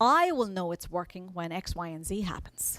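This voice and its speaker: In a silent setting, this very clean recording captures a woman. Her pace is fairly slow. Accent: American. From Ireland. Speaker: agile coach and conference speaker. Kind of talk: conference talk. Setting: stage with audience. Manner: animated.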